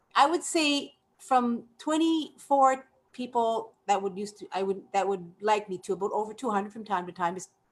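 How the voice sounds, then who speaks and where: A woman with fairly high pitch speaks at a moderate pace, her intonation lively. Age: 60s. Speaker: network marketing member. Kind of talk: testimony. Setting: live webinar. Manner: animated.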